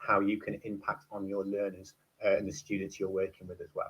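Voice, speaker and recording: A man talks at a fairly quick pace. He has a northern English accent. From northwest England, Preston. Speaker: teacher and university lecturer. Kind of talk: conference talk. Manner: hesitant, many fillers.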